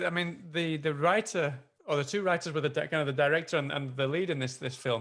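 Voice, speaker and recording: A man with an English accent. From northern England, near Manchester. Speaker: film interviewer. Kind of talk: interview. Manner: halting.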